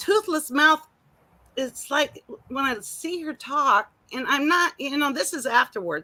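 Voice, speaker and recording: A woman uses a raised, projected voice at a high pitch. She speaks at a very slow pace with lively intonation. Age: 60s. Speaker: livestreamer, retired nurse. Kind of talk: casual chat. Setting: outdoors in garden.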